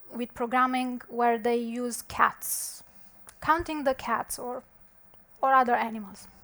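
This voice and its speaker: The speaker has a non-native accent and delivers every line in a monotone, flat intonation. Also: woman. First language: not English. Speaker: conference speaker, software developer. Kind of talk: conference talk. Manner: halting, with fillers.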